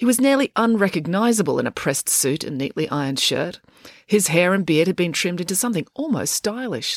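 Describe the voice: Intonation rises and falls in a lively way. The delivery is plain reading aloud.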